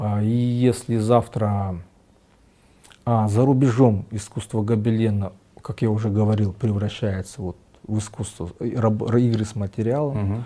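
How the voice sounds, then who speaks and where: A man's fairly low, dark, mellow voice with fairly even intonation, moderate pace and long, frequent pauses. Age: 50s. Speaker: tapestry artist. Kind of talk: interview. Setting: artist's studio.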